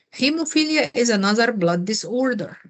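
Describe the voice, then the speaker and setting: With lively intonation, a woman talks in a somewhat breathy voice. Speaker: nursing tutor. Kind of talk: tutoring review session.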